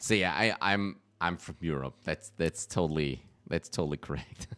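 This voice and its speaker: A man's very deep, low voice with vocal fry and a bright, sharp tone, ordinary pitch variation and a moderate pace, in a dry, close sound with no echo. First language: German. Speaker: gaming streamer. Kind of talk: live gameplay commentary. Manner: halting, frequent fillers.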